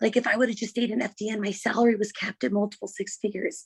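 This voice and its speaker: A woman whispers at a very fast pace, the sound dry and close with no echo. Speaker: network marketing team member. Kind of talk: testimony. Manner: whispering; normally loud.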